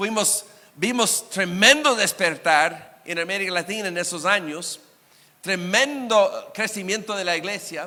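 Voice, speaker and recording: A man with a high pitch speaks in a raised, projected voice at a fairly slow pace, using ordinary pitch variation, with noticeable background noise behind him. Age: 60s. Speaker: guest preacher. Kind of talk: sermon.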